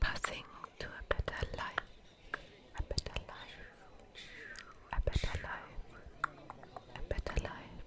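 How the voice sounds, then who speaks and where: A woman whispers at a fairly slow pace with long, frequent pauses and big swings in loudness. Noticeable background noise can be heard. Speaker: ASMR creator. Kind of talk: ASMR whispered tour narration. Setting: outdoors. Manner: whispered.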